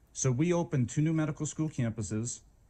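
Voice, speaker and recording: Against a quiet background, the speech runs very fast in a dark, mellow tone with a slight Boston accent. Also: man. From Boston, Massachusetts. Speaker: medical school dean. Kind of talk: leadership talk. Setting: stage with audience, walking around room. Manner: animated.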